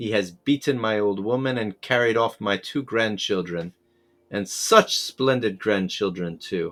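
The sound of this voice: With its ordinary pitch variation, the voice is an unforced reading voice.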